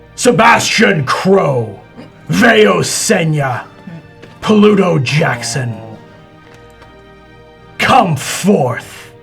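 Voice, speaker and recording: Doing a put-on character voice, a man speaks at a fairly high pitch and a very slow pace with very wide pitch swings. Faint music plays in the background. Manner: commanding.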